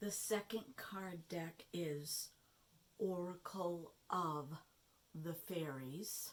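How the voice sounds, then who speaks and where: A quiet voice goes at a very slow pace over noticeable background noise. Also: woman, fairly low pitch for a woman, ordinary pitch variation. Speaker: tarot and oracle card reader. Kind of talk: card reading talk to camera. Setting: no microphone, low volume. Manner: quiet, hushed.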